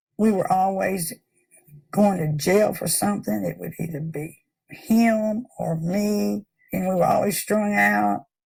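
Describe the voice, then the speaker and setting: Speaking in a Tennessee accent, a woman talks at a fairly slow pace. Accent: Southern US (Tennessee). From US South, Memphis, Tennessee. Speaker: recovering addict. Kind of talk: testimony.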